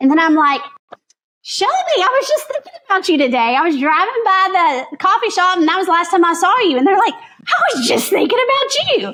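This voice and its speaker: A woman speaks at a fairly quick pace in a raised, projected voice. Her pitch is extremely high and swings very widely. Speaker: realtor. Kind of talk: podcast interview.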